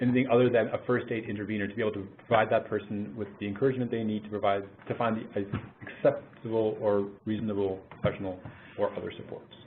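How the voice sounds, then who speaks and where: A man speaks with a Canadian accent at a medium pitch. His pace is fairly quick and his intonation fairly even. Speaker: mental health program manager. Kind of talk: webinar presentation. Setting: webinar call. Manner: fast.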